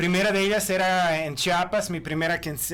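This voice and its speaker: A man speaks at a moderate pace. He has a Croatian accent. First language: Croatian (speaking Spanish). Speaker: author and historian. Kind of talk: podcast interview. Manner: halting.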